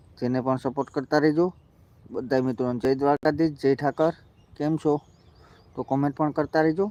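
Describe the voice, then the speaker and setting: This man's fairly high-pitched voice has a dark, mellow tone and fairly even intonation, recorded with a dry, close sound and no echo. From Gujarat, Junagadh district (Gir). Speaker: farmer livestreamer. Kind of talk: casual live stream walkaround. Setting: outdoors on a farm.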